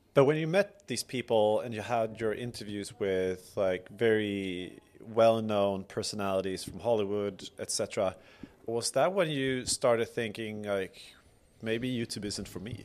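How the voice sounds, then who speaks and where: A man with a Swedish accent speaks fairly slowly at a fairly low pitch, with ordinary pitch variation. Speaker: podcast host. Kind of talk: casual interview chat.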